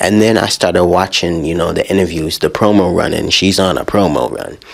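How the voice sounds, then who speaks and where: Animated, fairly quick speech from a man, with noticeable background noise. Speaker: music podcast host. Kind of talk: casual music review.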